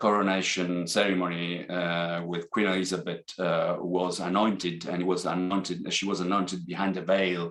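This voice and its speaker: A man with a very deep, low pitch and an Italian accent, at a moderate pace with hardly any pauses and monotone, flat intonation. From Italy. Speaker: accounting academic. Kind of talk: seminar talk. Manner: hesitant, many fillers.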